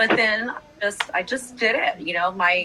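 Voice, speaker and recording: A woman talks at a fairly slow pace, and noticeable background noise can be heard. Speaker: high school choir director. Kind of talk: casual chat.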